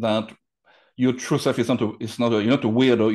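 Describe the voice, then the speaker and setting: Against a quiet background, a man speaks in a French accent with fairly even intonation. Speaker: hypnotherapist. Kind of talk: interview answer. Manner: casual, hesitant. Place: home room. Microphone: video call.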